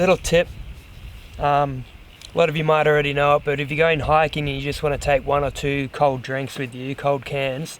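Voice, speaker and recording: This man has an Australian accent and a fairly high pitch. He talks at a moderate pace with fairly even intonation. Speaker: hiking vlogger. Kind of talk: outdoor vlog narration. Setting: outdoors. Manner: distracted.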